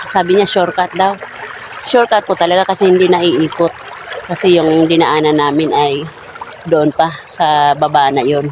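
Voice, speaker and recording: A man's high-pitched voice at a fairly slow pace, fairly even in intonation, over noticeable background noise. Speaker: vlogger. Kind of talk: casual talk to camera.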